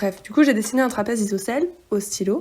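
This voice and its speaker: A woman with a fairly high pitch speaks in a dark, mellow tone. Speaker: sewing vlogger. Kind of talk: tutorial vlog narration. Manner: monotone; hesitant, many fillers.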